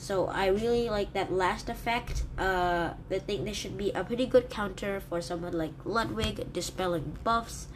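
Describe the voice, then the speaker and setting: A woman talks at a fairly slow pace with hardly any pauses, her medium pitch showing ordinary variation. Her voice carries audible room echo. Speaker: gaming YouTuber. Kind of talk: game review commentary. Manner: hesitant fillers.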